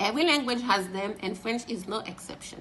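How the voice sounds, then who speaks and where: Noticeable background noise runs under the recording. Over it, a woman speaks at a fairly high pitch with lively intonation. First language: French and Haitian Creole. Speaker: French tutor and translator. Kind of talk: tutor promo talk to camera.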